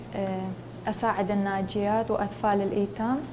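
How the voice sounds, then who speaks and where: A woman of medium pitch speaks at a moderate pace with fairly even intonation. Audible room echo and noticeable background noise are present. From northern Iraq, Sinjar (Nineveh). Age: 20s. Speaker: beauty contest contestant, humanitarian worker. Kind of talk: interview. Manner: halting, many fillers.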